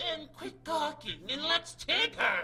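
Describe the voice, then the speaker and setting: Using a put-on character voice, the speaker talks at a high pitch and a fairly slow pace. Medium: solo performance. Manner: excited, gloating.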